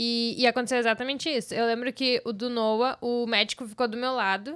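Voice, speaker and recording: A woman talks at a moderate pace in a normal speaking voice, pitched fairly high. The recording is very clean and the background silent. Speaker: mother of three. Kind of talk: casual chat.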